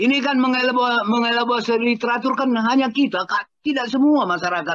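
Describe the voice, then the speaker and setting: Against a quiet background, a man speaks at an extremely high pitch with very even loudness. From North Sumatra, Medan area. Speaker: cultural historian. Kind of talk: panel discussion. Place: home room. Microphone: video call.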